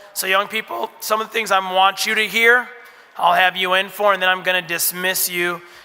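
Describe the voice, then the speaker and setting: Over noticeable background noise, a man with a high pitch speaks in a raised, projected voice at a moderate pace with fairly even intonation. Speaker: school administrator. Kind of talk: orientation talk to parents.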